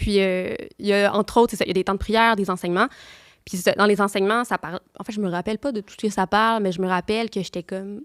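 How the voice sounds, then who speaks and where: A woman with a Quebec accent speaks at a very fast pace, medium pitch and fairly even intonation in a very clean recording with a silent background. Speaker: nun. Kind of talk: testimony. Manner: halting.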